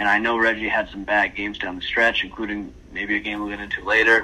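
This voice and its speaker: A man at a medium pitch, flat and monotone, talking at a very fast pace over noticeable background noise. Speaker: basketball podcast co-host. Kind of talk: casual sports podcast discussion.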